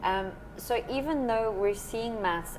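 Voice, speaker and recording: Noticeable background noise surrounds a woman with a South African accent. Her pitch varies in an ordinary way. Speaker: maths teacher. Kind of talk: podcast interview. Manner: energetic, enthusiastic.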